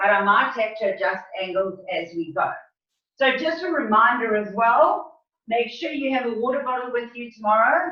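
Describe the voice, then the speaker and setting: Lively intonation at a moderate pace amid audible room echo. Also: woman, fairly high pitch for a woman. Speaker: fitness instructor. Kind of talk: tutorial. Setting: video call.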